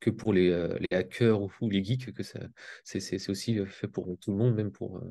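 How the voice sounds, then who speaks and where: Against a quiet background, a man speaks at a moderate pace in a fairly low pitch, his tone dark and mellow and his intonation fairly even. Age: 20s. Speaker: crypto trader. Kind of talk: self-introduction in group video meeting. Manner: halting, many fillers and repetitions.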